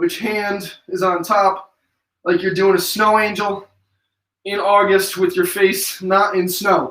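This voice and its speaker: In an American accent, a man with a high pitch and a bright, sharp tone uses a raised, projected voice at a very slow pace, with monotone, flat intonation and long, frequent pauses. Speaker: fitness instructor. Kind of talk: live workout instruction. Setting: live stream.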